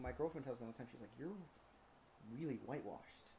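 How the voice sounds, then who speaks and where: A man's somewhat breathy voice moves with ordinary pitch variation. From Ventura County, California. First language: Spanish. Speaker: comedian. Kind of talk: casual chat.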